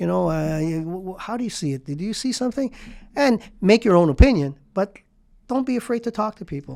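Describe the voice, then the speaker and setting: A man with a high pitch and dark, mellow tone, moving at a fairly quick pace through very wide pitch swings and big shifts in loudness. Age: 70s. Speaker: real estate executive. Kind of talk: interview conversation. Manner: halting.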